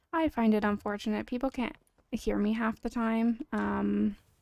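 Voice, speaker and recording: A soft-spoken woman with a fairly high pitch and a dark, mellow tone is heard in a very clean recording with a silent background. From Canada. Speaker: game streamer. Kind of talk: casual live-stream chat. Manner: quiet. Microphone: standalone mic with no gain control, too quiet.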